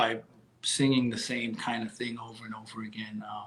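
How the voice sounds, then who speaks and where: This man speaks with a medium pitch. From Staten Island, New York. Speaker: musician. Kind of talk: interview answer.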